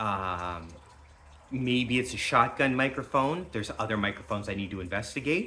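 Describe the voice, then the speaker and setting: At a moderate pace, a man speaks with lively intonation. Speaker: YouTuber and homesteader. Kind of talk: product review vlog. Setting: indoor office. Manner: loud.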